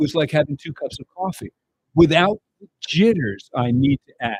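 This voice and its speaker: Dry and close with no echo, a man's somewhat breathy, fairly high voice moves at a moderate pace. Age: 70s. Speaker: product presenter. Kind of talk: sales pitch.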